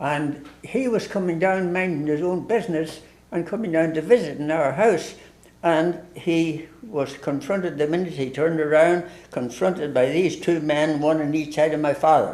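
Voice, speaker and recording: There is audible room echo as a man with an Ulster accent speaks at a fairly high pitch. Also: ordinary pitch variation, moderate pace. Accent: Ulster Irish. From Ireland, Ulster (Tyrone area). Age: 90s. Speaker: priest. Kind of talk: storytelling in casual interview. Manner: halting.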